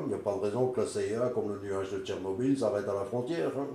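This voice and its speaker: A man speaks at a moderate pace with ordinary pitch variation. Audible room echo and noticeable background noise fill the recording. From Belgium. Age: 60s. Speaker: political activist. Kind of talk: testimony.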